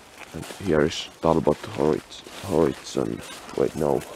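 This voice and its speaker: A man with a Finnish accent speaks quietly at a fairly slow pace, his pitch very deep and low with ordinary variation. The sound is dry with no echo, though noticeable background noise is present. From Finland. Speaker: urban explorer, video creator; video creator. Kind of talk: casual walkthrough commentary. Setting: outdoors, abandoned property. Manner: quiet, hushed; halting, hesitant. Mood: curious, surprised. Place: open country. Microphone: phone near.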